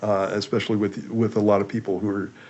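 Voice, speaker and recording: This man talks at a fairly quick pace, his fairly low voice keeping a fairly even intonation. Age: 60s. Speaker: pastor. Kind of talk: casual chat. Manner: halting.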